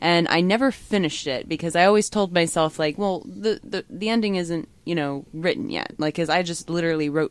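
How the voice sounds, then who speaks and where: In a very clean recording with a silent background, a woman uses a normal speaking voice, fairly low in pitch, with lively intonation. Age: 30s. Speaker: writer. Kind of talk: casual chat.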